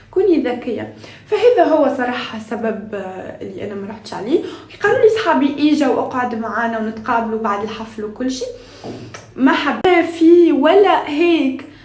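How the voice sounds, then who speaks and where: Her high-pitched voice swings very widely in pitch at a moderate pace, with noticeable background noise and audible room echo behind this woman. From Tunisia. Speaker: lifestyle vlogger. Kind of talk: casual vlog chat. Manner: halting, many fillers and restarts.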